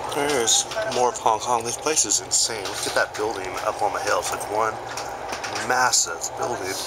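Loud background noise behind a man's moderate pace. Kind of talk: casual vlog commentary. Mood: amazed, impressed. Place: train. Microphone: phone near.

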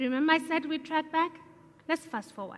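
Here a woman talks. Her pitch rises and falls the usual amount. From South Africa. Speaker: entrepreneur; speaker. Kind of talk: public talk. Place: stage. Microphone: headset.

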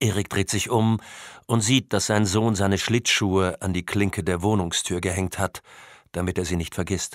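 An unremarkable speaking voice from a man, fairly low in pitch, with fairly even intonation at a moderate pace, on a very clean recording with a silent background and a dry, close sound with no echo. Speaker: audiobook narrator. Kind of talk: audiobook narration, scripted crime thriller read aloud with character voices. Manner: measured, atmospheric, suspenseful.

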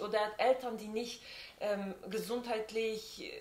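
Fairly slow pace with audible room echo. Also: woman. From Switzerland. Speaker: friend of the host. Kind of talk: casual chat. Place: home room. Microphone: camera far.

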